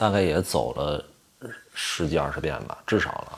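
A man with a very deep, low voice and ordinary pitch variation is heard over noticeable background noise. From Tianjin, China. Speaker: actor. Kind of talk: casual chat over drinks.

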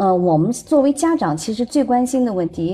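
A woman's somewhat breathy, dark, mellow tone at a moderate pace, with very wide pitch swings over a quiet background. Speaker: parent and former broadcaster. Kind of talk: casual chat. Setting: online voice room. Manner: soft-spoken.

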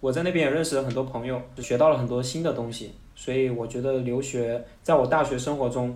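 A man talks at a fairly quick pace and medium pitch. His intonation is fairly even, with audible room echo. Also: hardly any pauses. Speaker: foreign trade employee. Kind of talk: casual interview.

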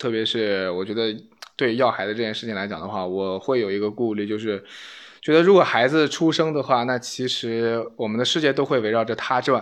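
An unremarkable speaking voice from a man, medium in pitch, fairly quick in pace, with ordinary pitch variation. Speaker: podcast host. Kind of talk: casual chat.

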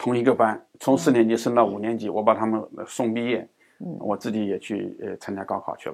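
Over a silent background in a very clean recording, a man at medium pitch talks at a fairly quick pace with fairly even intonation and big swings in loudness. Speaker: education professor. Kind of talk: interview. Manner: frequent hesitation fillers.

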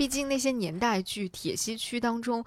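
With a plain, everyday voice, a woman speaks fairly slowly and with lively intonation at a fairly high pitch, captured in a very clean recording with a silent background. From northern China, Hebei. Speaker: podcast host. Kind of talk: scripted narration.

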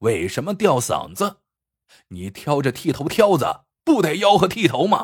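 Using a put-on character voice with a slightly husky edge, a man speaks at a fairly high pitch with very wide pitch swings. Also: moderate pace.

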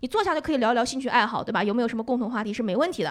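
A woman talks at a very fast pace. Her intonation is lively. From Northeast China. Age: 20s. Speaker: comedian. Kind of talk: casual chat. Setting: stage with audience. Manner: talkative.

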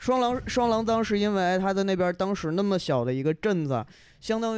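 A man is recorded very cleanly against a completely silent background. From Yunnan, China. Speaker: podcast listener guest, silver craftsman. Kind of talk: casual chat. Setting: recording at host's home.

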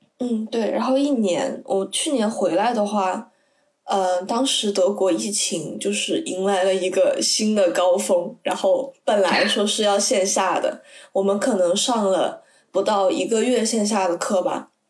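This woman has an unremarkable speaking voice, medium in pitch with ordinary pitch variation, very even loudness and a fairly slow pace. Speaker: university student abroad. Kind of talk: casual chat.

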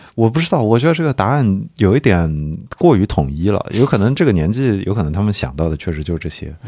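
Speaking at a very fast pace, a man with a dark, mellow tone and a fairly low pitch makes very wide pitch swings. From Nanjing, China. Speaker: sports podcast host. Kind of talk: casual chat.

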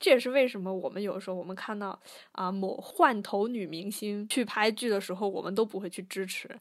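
A woman talks at a fairly quick pace with a fairly high pitch and ordinary pitch variation. It is an ordinary speaking voice on a very clean recording with a silent background. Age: young. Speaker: podcast co-host. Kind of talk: casual chat.

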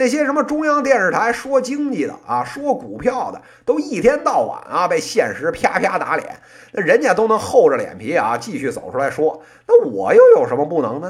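Someone talks at a moderate pace with a Beijing accent. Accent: Beijing accent, northern Beijing variety. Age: 30s. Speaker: podcast host, business commentator. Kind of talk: casual monologue.

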